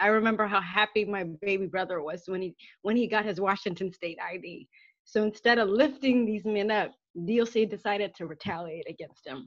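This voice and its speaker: A woman talks at a moderate pace with ordinary pitch variation and big swings in loudness. The sound is dry with no echo, over a quiet background. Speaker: family member of prisoner. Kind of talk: prepared statement. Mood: emotional, earnest. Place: home room. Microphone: webcam.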